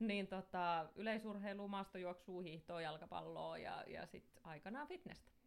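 Here is a woman with a plain, everyday voice at a medium pitch. She barely pauses at all. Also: ordinary pitch variation, fairly slow pace. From Finland, Somero (Southwest Finland). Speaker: gym entrepreneur and interior designer. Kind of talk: casual interview chat. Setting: studio.

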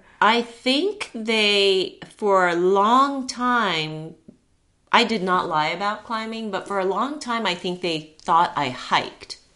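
A woman with a Japanese accent at a very slow pace, with lively intonation. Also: medium pitch for a woman. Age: 50s. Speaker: climbing guide and yoga teacher. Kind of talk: casual interview chat.

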